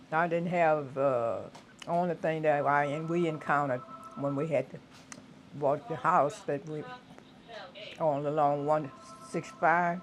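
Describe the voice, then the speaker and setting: With music in the background, a woman speaks at a fairly slow pace in a very deep, low voice with ordinary pitch variation and long, frequent pauses. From US South, southwest Louisiana. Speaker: retired teacher. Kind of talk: oral history interview. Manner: halting.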